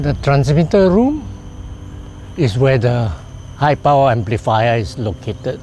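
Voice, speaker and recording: A medium-pitched man at a fairly slow pace, lively intonation, long, frequent pauses and noticeable background noise. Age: 80s+. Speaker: retired telecoms engineer. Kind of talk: interview answer.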